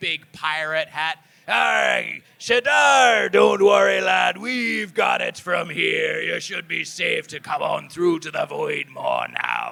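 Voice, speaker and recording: A man shouts in a raspy, put-on character voice at a fairly slow pace. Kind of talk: live tabletop role-play game narration.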